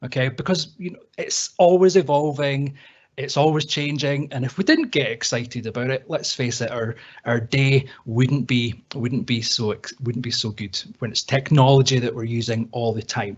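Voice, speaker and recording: With a Scottish accent, a somewhat breathy voice moves at a moderate pace with ordinary pitch variation. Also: man, medium pitch for a man. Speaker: IT trainer. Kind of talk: webinar tutorial. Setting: online webinar. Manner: casual, repeats words.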